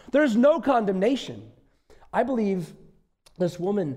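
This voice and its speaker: A man with an American accent speaks in a dark, mellow tone with very wide pitch swings. Audible room echo surrounds his voice. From US Midwest, northeastern Wisconsin. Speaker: visiting pastor. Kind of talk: sermon.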